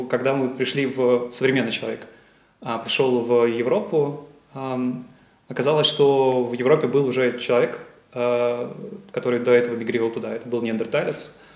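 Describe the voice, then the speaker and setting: With audible room echo, the speaker uses fairly even intonation and leaves long, frequent pauses. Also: man, medium pitch for a man, moderate pace. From Russia, Yaroslavl. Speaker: scientist. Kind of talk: interview. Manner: hesitant with fillers.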